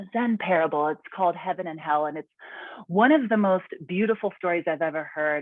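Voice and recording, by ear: A natural voice reading aloud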